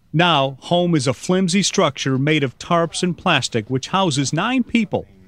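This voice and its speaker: A man's normal speaking voice, fairly high in pitch, with lively intonation, very even loudness and a moderate pace, in a very clean recording with a silent background and a dry, close sound with no echo. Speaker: TV news anchor, voice-over narrator. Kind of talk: documentary voice-over narration. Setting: studio.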